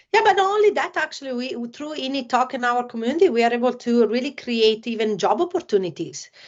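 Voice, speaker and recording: A woman with an Italian accent talks at a very fast pace with hardly any pauses, using a high pitch and very wide pitch swings. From Italy. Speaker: former motocross champion and esports company staff. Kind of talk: casual podcast interview. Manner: halting, many fillers.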